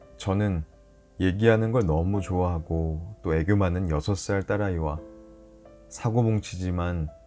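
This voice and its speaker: A man with a very deep, low pitch and ordinary pitch variation speaks at a fairly slow pace while music plays in the background. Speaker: announcer. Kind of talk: sleep story.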